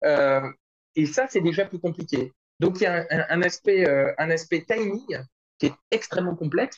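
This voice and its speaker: A man talks at a high pitch and a fairly slow pace. His speech has ordinary pitch variation and long, frequent pauses. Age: 40s. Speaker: start-up executive. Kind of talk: interview.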